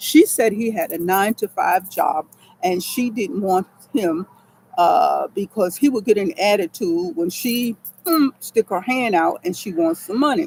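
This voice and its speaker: With an American accent, the speaker sounds animated, using lively intonation at a fairly slow pace, the sound dry and close with no echo despite noticeable background noise. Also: woman, medium pitch for a woman. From New York. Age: 70s. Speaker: military veteran and online advice giver. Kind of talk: motivational talk to viewers. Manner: halting, stammering at times.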